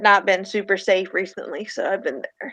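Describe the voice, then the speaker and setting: A woman's medium-pitched voice, bright and sharp in tone, with a strong Southern US accent at a fairly slow pace. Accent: heavy Southern US. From Virginia, US South. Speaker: tabletop role-play player. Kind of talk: role-play narration; casual chat. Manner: halting.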